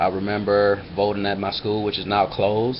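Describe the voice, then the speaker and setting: The speaker has an American accent and moves at a fairly quick pace. The intonation is monotone and flat, with noticeable background noise. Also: man. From US Midwest, Flint, Michigan. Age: 30s. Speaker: video blogger. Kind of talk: casual personal vlog monologue. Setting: webcam recording. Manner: hesitant, many fillers.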